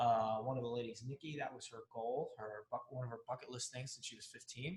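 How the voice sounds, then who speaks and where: A fairly quick, somewhat breathy delivery with fairly even intonation. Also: man, medium pitch for a man. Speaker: fear coach and author, former Navy bomb technician. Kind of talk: casual interview chat. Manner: quieter than the host.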